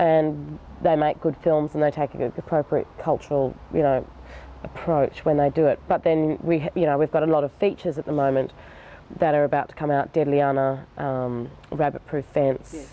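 A woman's very deep, low voice with an Australian accent, monotone, flat intonation, a moderate pace and a dry sound with no echo. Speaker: filmmaker. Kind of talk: interview answer. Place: garden. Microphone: lapel.

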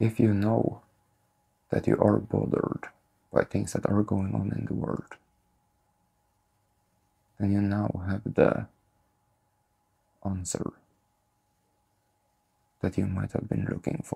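Against a quiet background, a man speaks at a fairly slow pace with long, frequent pauses. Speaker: spiritual content creator. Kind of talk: calm spiritual talk to camera. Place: home room.

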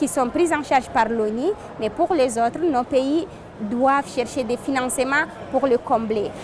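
A woman speaks in a high voice at a fairly slow pace with ordinary pitch variation. The sound is dry with no echo, though noticeable background noise is present. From Chad. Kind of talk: interview statement. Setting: climate conference. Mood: earnest, determined. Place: hall.

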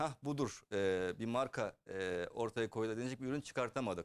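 A man's ordinary speaking voice at medium pitch, fairly quick in pace with ordinary pitch variation, dry and close with no echo in a very clean recording with a silent background. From Germany. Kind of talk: casual interview.

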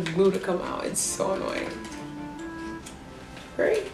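Over music in the background, a woman with a medium pitch speaks at a fairly quick pace. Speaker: beauty vlogger. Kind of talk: casual beauty review to camera.

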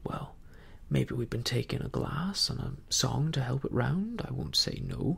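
Simple, plain reading aloud

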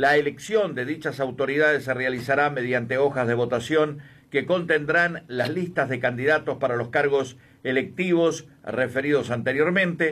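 At a moderate pace, a man speaks in an unremarkable speaking voice with a fairly high pitch and ordinary pitch variation. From Uruguay, Cerro Largo. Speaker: radio host. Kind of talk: live election radio broadcast.

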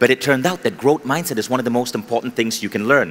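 This is a man speaking. His intonation is lively. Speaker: keynote speaker. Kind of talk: motivational talk. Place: stage. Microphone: headset.

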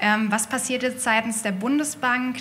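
Over light background noise, a woman with an unremarkable speaking voice talks at a moderate pace with ordinary pitch variation. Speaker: audience member. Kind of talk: audience question. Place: hall. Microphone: handheld.

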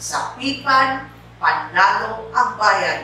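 A woman speaks in a room with strong echo and light background noise. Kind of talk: official message speech. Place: office.

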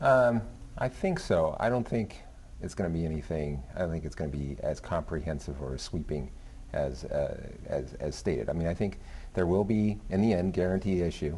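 Over light background noise, a man with a very deep, low pitch and a dark, mellow, somewhat breathy tone speaks at a moderate pace with lively intonation. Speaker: business reporter. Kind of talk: TV panel discussion. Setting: TV studio. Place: studio. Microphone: lapel.

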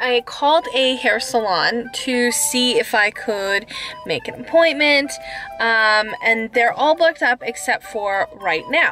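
A woman speaks at a very slow pace in a raised, projected voice, with clear music in the background. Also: dry sound with no echo. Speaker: vlogger. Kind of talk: casual vlog chat. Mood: cheerful, a bit nervous. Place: car. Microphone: phone near.

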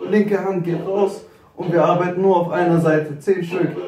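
Over clear music in the background, a man speaks at a high pitch with fairly even intonation. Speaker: fitness trainer. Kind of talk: workout instruction.

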